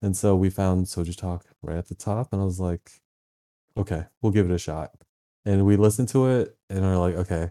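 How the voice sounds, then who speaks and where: A man's very deep, low voice with an American accent, a dark, mellow tone, fairly even intonation and a moderate pace, dry and close with no echo in a very clean recording with a silent background. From Virginia, US. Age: 30s. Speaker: photographer and video editor. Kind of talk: casual interview chat.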